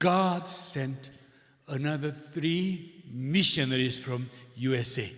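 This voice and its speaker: Speaking very slowly with a Korean accent, a man uses a fairly high pitch and ordinary pitch variation. Room echo is audible. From South Korea. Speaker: visiting missionary preacher. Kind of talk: sermon with interpreter. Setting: church. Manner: short phrases with pauses for interpreter.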